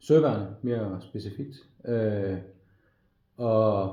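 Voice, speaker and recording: Through audible room echo, a man speaks very slowly in a somewhat breathy, fairly low voice with a dark, mellow tone. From Denmark, Frederikshavn (North Jutland). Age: 40s. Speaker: navy veteran applying to media school. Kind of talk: application video monologue. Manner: halting, many fillers and repetitions.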